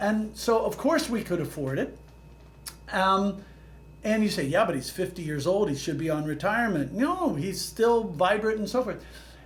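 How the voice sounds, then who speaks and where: A man with a high pitch and lively intonation talks at a moderate pace over noticeable background noise, with audible room echo. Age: 70s. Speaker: economist and real estate professor. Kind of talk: interview. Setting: podcast.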